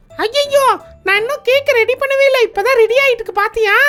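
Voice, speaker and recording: An extremely high-pitched cartoonish character voice. It moves at a fairly quick pace. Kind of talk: kids puppet show dialogue, Bible storytelling.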